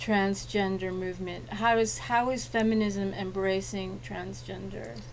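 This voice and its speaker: This woman speaks at a fairly slow pace. Audible room echo surrounds her voice. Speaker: talk show host. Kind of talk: interview.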